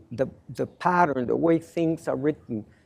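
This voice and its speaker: In a Spanish accent, a man speaks with a high pitch, lively intonation and a dark, mellow tone. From Mexico. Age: 60s. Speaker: lawyer and panelist. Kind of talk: panel presentation.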